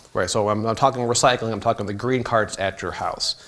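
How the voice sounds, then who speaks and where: Noticeable background noise behind a man with an American accent. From southern Illinois, St. Louis area. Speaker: city recycling coordinator. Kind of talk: public talk. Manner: casual, many fillers.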